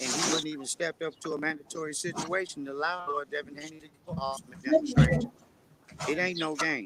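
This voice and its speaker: Big swings in loudness and ordinary pitch variation mark this fairly quick speech, set against noticeable background noise. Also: man. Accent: American. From northern California. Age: 50s. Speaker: boxing camp member. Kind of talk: interview. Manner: rhyming hype delivery. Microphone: audio low, cutting in and out.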